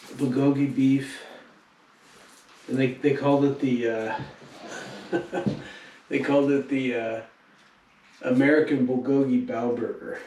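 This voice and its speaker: A man talks at a fairly slow pace with monotone, flat intonation and long, frequent pauses over noticeable background noise. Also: fairly high pitch for a man. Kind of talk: casual travel vlog talk to camera.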